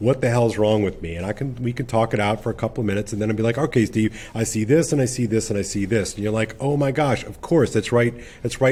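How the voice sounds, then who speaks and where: Medium in pitch, a man's voice has a dark, mellow tone. He talks at a very fast pace. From Louisiana. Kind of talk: casual chat.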